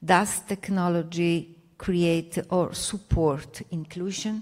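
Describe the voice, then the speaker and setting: A woman speaks at a very slow pace with a fairly low pitch. Her intonation is fairly even. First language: not French (speaking French). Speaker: academic researcher. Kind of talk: panel presentation.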